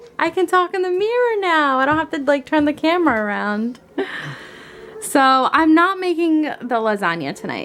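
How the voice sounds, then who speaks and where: The voice moves at a moderate pace with very wide pitch swings, with music in the background. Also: woman. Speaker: lifestyle vlogger. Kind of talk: casual vlog. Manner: soft-spoken.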